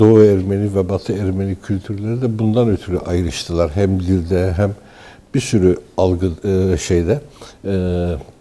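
This man has a very deep, low pitch and a dark, mellow tone. He keeps a moderate pace and fairly even intonation. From Turkey, Istanbul. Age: 60s. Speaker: newspaper editor and writer. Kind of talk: interview. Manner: hesitant, many filler sounds.

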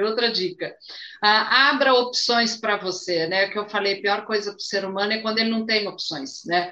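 In an ordinary speaking voice, a woman talks at a fairly slow pace with a fairly high pitch and ordinary pitch variation. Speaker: flight attendant and live stream moderator. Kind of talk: live stream interview.

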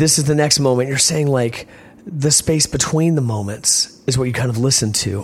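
A man speaks at medium pitch with an American accent. His pitch varies in an ordinary way at a moderate pace. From Virginia, US South. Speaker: punk band lead singer. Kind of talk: casual interview. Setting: backstage at a concert venue. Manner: soft-spoken; reflective, rambling.

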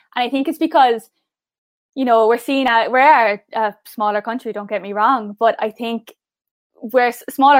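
The recording of this woman's high voice has a dry, close sound with no echo. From southern Ireland. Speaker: pageant contestant. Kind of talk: interview. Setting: video call. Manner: fast talker; gets louder when excited.

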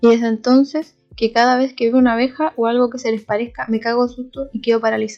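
A woman with a high voice in a Chilean accent, very fast and flat, monotone in intonation. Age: 20s. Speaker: podcast host. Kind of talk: casual solo podcast chat.

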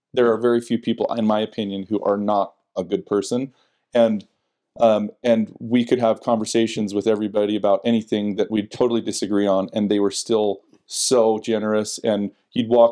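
In a Utah accent, a man with a fairly low, dark, mellow voice talks at a moderate pace in a flat monotone against a quiet background. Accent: Utah American. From Salt Lake County, Utah. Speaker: church member and husband. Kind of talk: casual interview about faith. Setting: at home.

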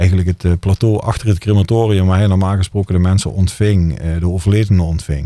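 Very fast speech from a man, very deep and low in pitch, dark and mellow in tone, with very even loudness and fairly even intonation on a very clean recording with a silent background. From Netherlands, Limburg (Brunssum). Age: 40s. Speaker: funeral director. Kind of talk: casual interview chat.

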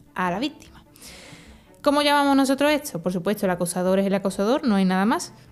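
A woman speaks at a very fast pace with very wide pitch swings around a medium pitch. Music plays in the background. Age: 20s. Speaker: teacher and anti-bullying advocate. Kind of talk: testimony.

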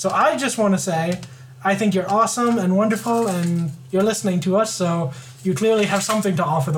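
Audible room echo and noticeable background noise surround a woman's voice. She speaks at a moderate pace and a medium pitch with lively intonation. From Ontario, Canada. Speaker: podcast co-host. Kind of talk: casual chat.

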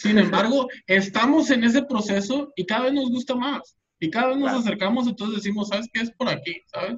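Spoken in a Mexican accent at a fairly quick pace, the voice moves along with hardly any pauses and ordinary pitch variation. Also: man, extremely high pitch for a man. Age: 20s. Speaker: podcast co-host. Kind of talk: casual chat.

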